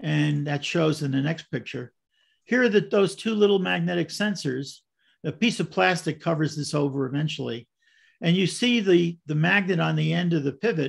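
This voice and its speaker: Over a quiet background, a man with an American accent talks at a moderate pace with lively intonation. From US Northeast, Brooklyn; New York. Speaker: model railroad clinic presenter; presenter. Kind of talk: presentation. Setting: video call. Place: home room. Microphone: video call.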